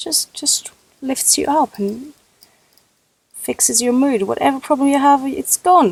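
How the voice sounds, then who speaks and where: A woman speaks at a high pitch and a fairly slow pace, with long, frequent pauses and ordinary pitch variation. The sound is dry and close, with no echo. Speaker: Sims builder showing a build. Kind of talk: casual gameplay commentary. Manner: halting, self-correcting.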